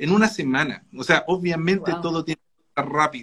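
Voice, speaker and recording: A man speaks in an ordinary speaking voice with a fairly high pitch. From Chile. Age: 30s. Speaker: novelist. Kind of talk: casual chat.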